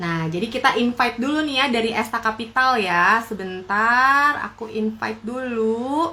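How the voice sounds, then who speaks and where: A woman speaks in a normal speaking voice, fairly high in pitch with ordinary pitch variation. Her pace is moderate, with hardly any pauses. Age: young. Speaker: live stream host, entrepreneur. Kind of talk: casual live stream chat.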